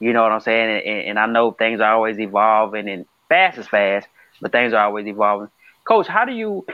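A man speaks at a fairly quick pace in a fairly low voice. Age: 30s. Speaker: podcast host. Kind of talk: interview. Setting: remote call. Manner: animated; halting.

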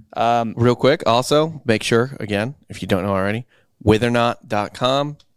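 A man with an American accent speaks at a moderate pace, at medium pitch with ordinary pitch variation. He has a plain, everyday voice, and the recording is very clean with a silent background. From US Midwest, St. Louis. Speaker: podcast co-host. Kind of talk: casual chat; ad read.

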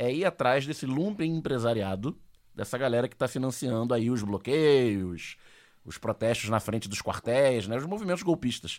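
In a very clean recording with a silent background, a man with an unremarkable speaking voice talks at a moderate pace with lively intonation. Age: 40s. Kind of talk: casual chat.

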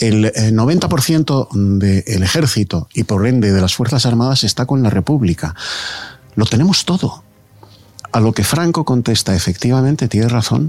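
A man speaks at a moderate pace in a medium-pitched voice with lively intonation. His loudness stays very even, with music playing in the background. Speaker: political commentator. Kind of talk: radio panel debate.

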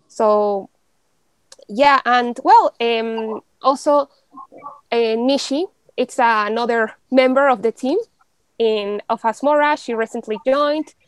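Speaking very slowly with long, frequent pauses, a woman with a Spanish accent uses a high pitch and ordinary pitch variation in a dry, close sound with no echo. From Mexico City. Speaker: law student. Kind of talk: casual interview.

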